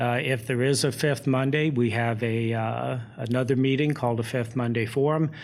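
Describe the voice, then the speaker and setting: With an American accent, a man speaks at a moderate pace and medium pitch with fairly even intonation, and audible room echo surrounds him. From US Midwest, Indiana. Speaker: town administrator. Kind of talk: interview.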